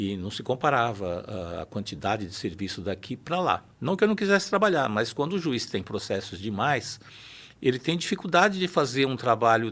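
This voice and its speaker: Over a very clean recording with a silent background, a man's voice makes very wide pitch swings. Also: medium pitch for a man, moderate pace. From São Paulo city, Brazil. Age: 60s. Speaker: judge. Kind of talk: interview.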